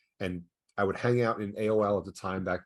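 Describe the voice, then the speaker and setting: A man at a fairly quick pace, with fairly even intonation, over a quiet background. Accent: New York. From New York. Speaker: ad fraud prevention company founder. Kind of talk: podcast interview. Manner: fast.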